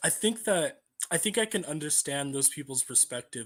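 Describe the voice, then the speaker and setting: An ordinary speaking voice, a man with a fairly high pitch talks at a fairly quick pace on a very clean recording with a silent background. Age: 18. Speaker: random video chat participant. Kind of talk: casual debate.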